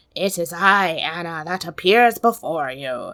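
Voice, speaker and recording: A woman uses a raspy put-on character voice at a fairly low pitch and a fairly slow pace. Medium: read story.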